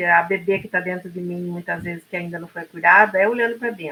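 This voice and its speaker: A woman with a plain, everyday voice talks at medium pitch with fairly even intonation. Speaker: podcast co-host. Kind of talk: casual talk show conversation.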